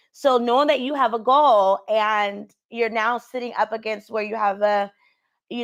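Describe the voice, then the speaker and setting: Over a quiet background, a woman with a fairly high pitch talks at a moderate pace with ordinary pitch variation, in an unremarkable speaking voice. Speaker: career coach. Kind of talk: live call-in coaching show.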